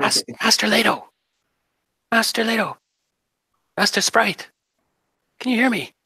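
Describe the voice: Whispering softly in a put-on character voice, the speaker leaves long, frequent pauses. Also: moderate pace.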